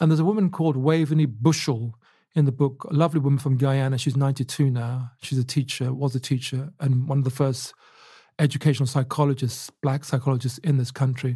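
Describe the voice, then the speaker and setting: Speaking very fast at a medium pitch, a man has a dark, mellow, somewhat breathy tone, very even loudness and fairly even intonation on a very clean recording with a silent background. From England, Luton. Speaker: historian and author. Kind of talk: interview.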